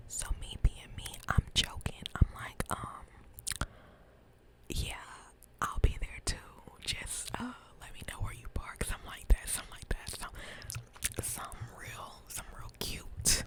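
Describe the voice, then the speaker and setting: Over noticeable background noise, a woman whispers at a fairly slow pace, with big swings in loudness and long, frequent pauses. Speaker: ASMR creator. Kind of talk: whispered ASMR ramble, casual talk to camera. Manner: whispered; chatty, playful.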